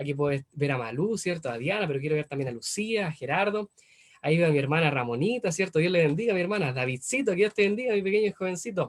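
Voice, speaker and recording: Talking at a very fast pace, a man uses a high pitch and an animated tone. His intonation is lively. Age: 20s. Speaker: preacher. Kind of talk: sermon. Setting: video call.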